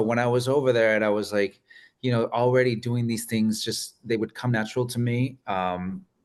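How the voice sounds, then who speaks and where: Over a quiet background, the speaker talks at a moderate pace with a Spanish accent. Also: man. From Arizona, raised by Mexican family. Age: 30s. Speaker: guest receiving a reading. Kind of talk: casual chat.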